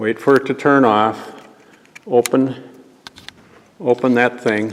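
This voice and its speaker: Against noticeable background noise, a man speaks at a very slow pace with fairly even intonation. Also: medium pitch for a man. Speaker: church volunteer. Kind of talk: tutorial. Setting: church. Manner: louder.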